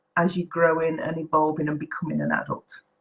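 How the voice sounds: A woman's low voice sounds croaky, with a slightly husky edge.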